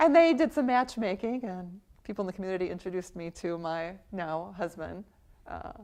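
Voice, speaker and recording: A woman with an American accent has an ordinary speaking voice, medium in pitch with ordinary pitch variation. She speaks at a moderate pace with big swings in loudness. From US. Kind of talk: interview testimony.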